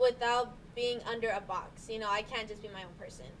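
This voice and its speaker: A woman speaks at a fairly quick pace in a fairly high pitch. Noticeable background noise runs underneath. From US, Chicana (Mexican-American). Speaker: youth podcast guest. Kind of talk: casual discussion.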